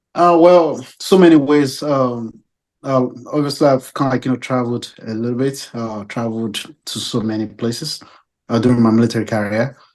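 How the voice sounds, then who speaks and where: A man with an African accent, medium pitch, and a fairly quick pace, against a quiet background. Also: ordinary pitch variation. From Nigeria. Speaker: naval officer. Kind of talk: interview. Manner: halting.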